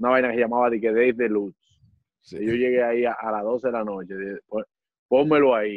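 A man at a medium pitch talks at a fairly quick pace with fairly even intonation, broken by long, frequent pauses. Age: 20s. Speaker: comedian and impressionist. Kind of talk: casual chat.

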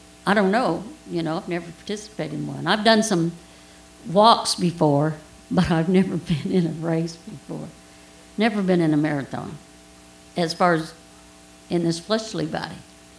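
With audible room echo, a woman speaks at a moderate pace in a fairly low pitch, with ordinary pitch variation and long, frequent pauses. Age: 60s. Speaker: preacher. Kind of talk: sermon. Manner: conversational, audience questions.

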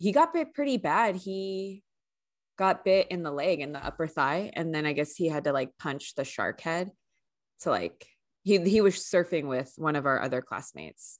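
With a Californian accent, a woman talks at a moderate pace and fairly low pitch. Her intonation is lively, and the background is quiet. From US West Coast, San Francisco Bay Area. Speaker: podcast co-host. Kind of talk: casual chat. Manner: animated.

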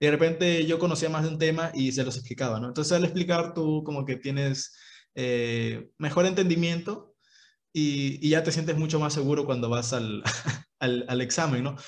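Using an unremarkable speaking voice, a man talks at a moderate pace with a fairly high pitch and ordinary pitch variation. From Peru, Ica. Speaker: university student podcast co-host. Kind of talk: casual chat.

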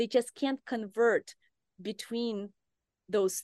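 A woman speaks over a quiet background. The sound is dry and close with no echo. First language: not English (native language rarely used). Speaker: neuroscience professor. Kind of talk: interview.

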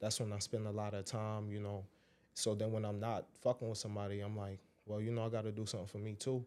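A man with an American accent, very fast and monotone, his flat delivery set at a fairly low pitch with a dark, mellow tone. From Brooklyn, New York City (Brownsville). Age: 20s. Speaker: stand-up comedian and rapper. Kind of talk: casual chat. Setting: studio.

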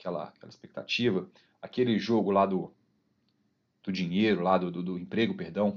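Speaking at a moderate pace with long, frequent pauses, a man uses a fairly low pitch and fairly even intonation. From Minas Gerais, Brazil (Belo Horizonte, Ouro Branco). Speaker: football fan, former youth team director and kit man. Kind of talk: casual interview.

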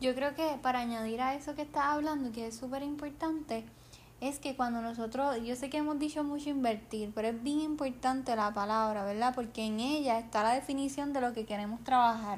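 A high-pitched woman speaks fairly quickly, with ordinary pitch variation. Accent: Puerto Rican. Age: 20s. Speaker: podcast host and nurse. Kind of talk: casual chat. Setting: home living room.

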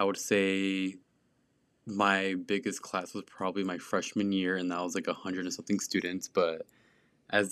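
This man's voice sits very deep and low, with a bright, sharp tone. He speaks in a monotone, flat intonation on a very clean recording with a silent background. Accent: American. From small conservative US town. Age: 20s. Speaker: podcast host. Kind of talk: casual monologue. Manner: casual, filler-heavy.

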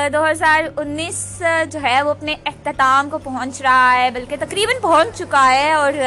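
Against noticeable background noise, a woman uses a raised, projected voice at a high pitch with ordinary pitch variation. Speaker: podcaster. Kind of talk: casual monologue. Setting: outdoors at roadside bus stop.

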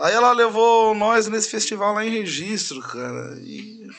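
A man is speaking. His pace is moderate. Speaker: singer and radio announcer. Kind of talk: casual chat.

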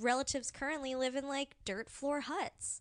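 The speaker is a woman with an American accent. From California, Orange County. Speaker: astrology enthusiast, game master. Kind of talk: casual chat.

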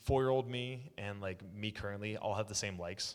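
In a very clean recording with a silent background, a man with an American accent uses an ordinary speaking voice, fairly low in pitch, with ordinary pitch variation and a moderate pace. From Oklahoma. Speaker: pro wrestler. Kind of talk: casual chat. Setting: echoey office room.

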